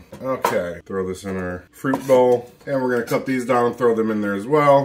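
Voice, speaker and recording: A man speaks at a fairly quick pace with ordinary pitch variation over noticeable background noise. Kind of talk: tutorial. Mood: upbeat, enthusiastic. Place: kitchen.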